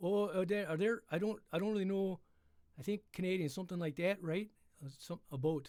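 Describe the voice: The text is read aloud plainly.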